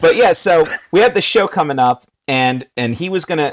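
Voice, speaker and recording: The sound is dry and close, without any echo. The speaker is a man. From New Jersey. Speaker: wrestling ring announcer. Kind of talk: casual chat.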